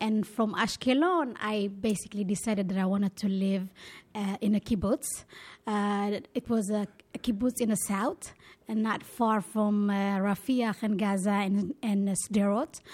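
Somewhat breathy, a woman at medium pitch speaks at a moderate pace with fairly even intonation. The recording is very clean, with a silent background. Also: very even loudness. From Israel. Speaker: restaurant owner. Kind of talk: interview. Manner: halting.

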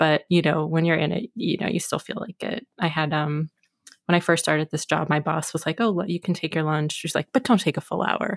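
On a very clean recording with a silent background and a dry, close sound with no echo, a woman talks at a fairly quick pace in a very deep, low voice with ordinary pitch variation. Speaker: podcast co-host. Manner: filler words, casual.

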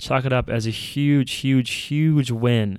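A man with an American accent speaks in a clear, smooth tone.

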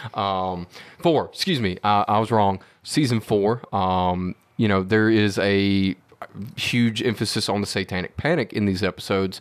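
Using a normal speaking voice, a man speaks at a moderate pace and a fairly low pitch, with fairly even intonation and very even loudness. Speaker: tech support for the show. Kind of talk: casual chat.

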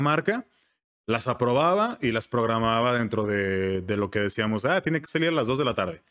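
An unremarkable speaking voice from a man, fairly quick, with ordinary pitch variation, on a very clean recording with a silent background. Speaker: voice-over artist and advertising professional. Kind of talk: casual interview.

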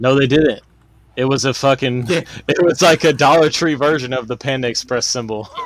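A plain, everyday voice, a man with an American accent at a medium pitch, fairly quick pace and ordinary pitch variation. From Boston. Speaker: podcast co-host. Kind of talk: casual chat.

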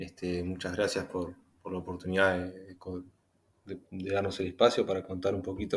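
A man speaks in a very deep, low voice. His delivery is somewhat breathy. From Uruguay. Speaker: industrial engineer. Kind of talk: casual discussion.

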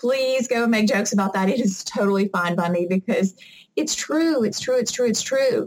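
A woman's fairly high-pitched voice with a Southern US accent, at a moderate pace, with ordinary pitch variation and very even loudness. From US South (Mississippi). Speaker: adaptive athlete and obstacle racer. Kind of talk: interview.

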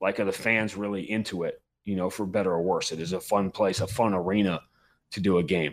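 On a very clean recording with a silent background, a man with an American accent and a fairly low pitch speaks in an ordinary speaking voice. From New York. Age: 50s. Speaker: NBA and MMA play-by-play announcer. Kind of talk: casual interview chat.

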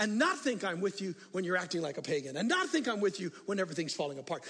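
A man's voice, bright and sharp in tone, with big pitch swings

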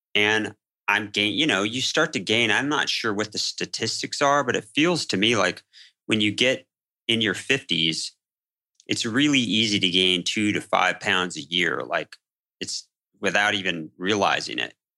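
A man speaks at a moderate pace against a quiet background. His fairly low voice has a bright, sharp tone. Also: lively intonation. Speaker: film editor. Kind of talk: casual chat.

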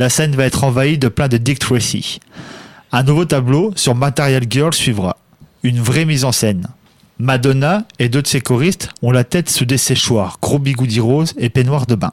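A man of medium pitch talks with ordinary pitch variation, moving at a moderate pace. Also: very even loudness. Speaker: radio columnist. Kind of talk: scripted narration.

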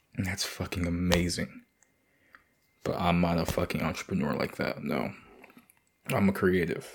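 Moderate pace, ordinary pitch variation, and long, frequent pauses throughout. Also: man, very deep, low pitch for a man. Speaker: podcast host. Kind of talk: casual monologue.

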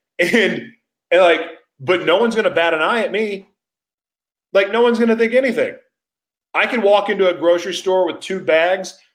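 Fairly quick speech with an American accent, ordinary pitch variation and long, frequent pauses. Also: man, high pitch for a man. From Oklahoma, US. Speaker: talk show host and ministry leader. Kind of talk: live-streamed talk show monologue. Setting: live stream. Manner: high energy, hyper.

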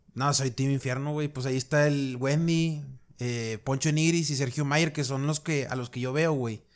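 A man speaks in a plain, everyday voice at a fairly high pitch and a moderate pace. His intonation is fairly even, and the recording is very clean with a silent background. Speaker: podcast co-host. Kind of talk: casual chat.

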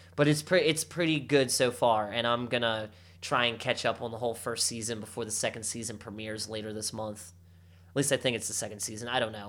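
A very clean recording with a silent background captures a man speaking at a medium pitch and a very fast pace. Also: ordinary pitch variation. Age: 30s. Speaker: podcast co-host. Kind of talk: casual chat.

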